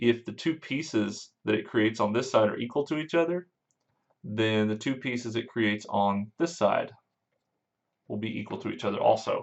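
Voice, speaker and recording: With a normal speaking voice, a man talks at a moderate pace, medium in pitch and ordinary in pitch variation. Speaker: math teacher. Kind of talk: lecture.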